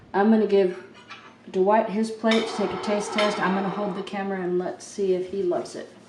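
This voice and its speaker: A woman speaks at a medium pitch and a fairly quick pace with fairly even intonation, audible room echo, and noticeable background noise. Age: 60s. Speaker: home cooking vlogger. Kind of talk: casual cooking vlog with taste test.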